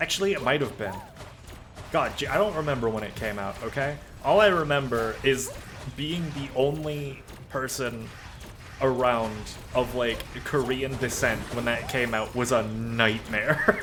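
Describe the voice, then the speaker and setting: A man speaks at a medium pitch and a fairly slow pace with an animated tone, ordinary pitch variation and long, frequent pauses, recorded with audible room echo and noticeable background noise. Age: 20s. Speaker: vtuber streamer. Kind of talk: casual chat while gaming. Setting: live stream.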